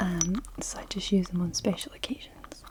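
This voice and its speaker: A soft-spoken voice with a Scottish accent over noticeable background noise. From Scotland. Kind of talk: ASMR personal attention, object triggers.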